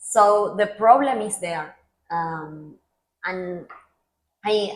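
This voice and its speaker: Speaking at a very slow pace, a woman with an Argentine accent has a medium-pitched voice. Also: ordinary pitch variation. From Argentina, Mar del Plata. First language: Spanish. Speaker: public policy professional. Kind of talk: interview. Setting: podcast.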